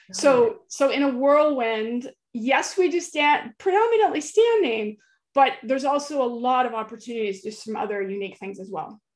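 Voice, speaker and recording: A woman with an American accent talks at a moderate pace in a high voice. Her pitch swings very widely and her loudness rises and falls a lot. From central California. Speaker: aquatic yoga teacher. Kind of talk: interview.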